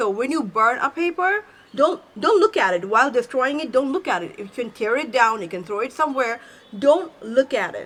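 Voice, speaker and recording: A woman with a non-native accent talks in an animated tone at a moderate pace, her high pitch making very wide swings. Her loudness also swings a lot, and there is noticeable background noise. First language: not English. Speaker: self-help YouTuber. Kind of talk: tutorial.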